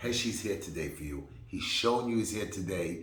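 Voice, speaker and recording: Over noticeable background noise and audible room echo, a man with a New York accent speaks in an animated tone at a fairly low pitch. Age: 50s. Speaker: political candidate. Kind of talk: campaign speech.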